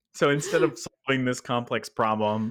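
Fairly slowly and with ordinary pitch variation, a man talks in a normal speaking voice. The recording is very clean, with a silent background. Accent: American. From Texas. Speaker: product manager, podcast co-host. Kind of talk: casual chat.

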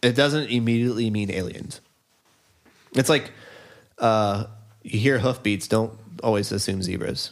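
Speaking in an American accent at a moderate pace, a man uses a medium pitch with ordinary variation and long, frequent pauses. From US Northeast. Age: 30s. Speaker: musician and friend of the host. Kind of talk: casual chat.

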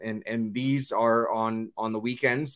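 Pitch variation is ordinary here. A man talks at a medium pitch. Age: 30s. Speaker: MMA striking coach. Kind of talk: casual interview chat. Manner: halting, many fillers and repetitions.

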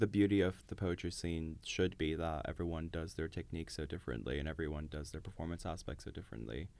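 With vocal fry and a very deep, low pitch, a man speaks very fast with hardly any pauses and ordinary pitch variation. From Dubai, Iranian family. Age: 20s. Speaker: poet. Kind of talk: casual interview.

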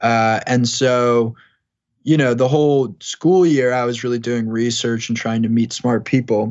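Here a man speaks in a plain, everyday voice at medium pitch with ordinary pitch variation. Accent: American. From New York, Long Island. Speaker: tech startup founder. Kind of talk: interview.

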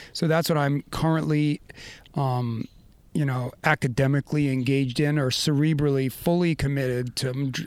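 A man with an American accent talks at a moderate pace in a fairly high pitch. His intonation is fairly even and his loudness very even. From US Northeast, Maine. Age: 50s. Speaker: surfer and adaptive athlete. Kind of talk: casual interview. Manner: high-energy.

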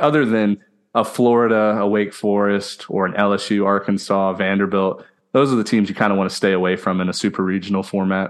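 An unremarkable speaking voice with an American accent moves at a fairly quick pace, its loudness very even and its intonation fairly even. The background is quiet. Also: man, fairly low pitch for a man. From Houston, Texas. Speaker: podcast host, former college baseball player. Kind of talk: casual chat.

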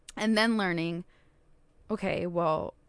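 With an American accent, a woman talks in a fairly low voice with ordinary pitch variation. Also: quiet background. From Southern California. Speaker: wellness and retreat leader. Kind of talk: casual interview.

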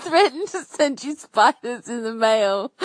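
A woman is talking. There is no echo, and the sound is dry and close. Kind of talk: casual chatty voicemail. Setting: phone call-in. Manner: animated, informal.

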